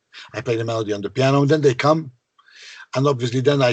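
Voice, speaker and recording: Somewhat breathy, a man's voice shows ordinary pitch variation. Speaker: songwriter. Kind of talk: interview.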